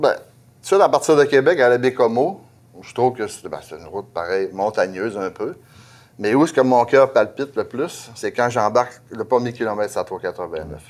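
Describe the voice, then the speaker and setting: With lively intonation and big swings in loudness, a man at medium pitch speaks at a moderate pace. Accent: Saguenay–Lac-Saint-Jean. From Quebec, Lac-Saint-Jean. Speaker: truck driver. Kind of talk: casual interview.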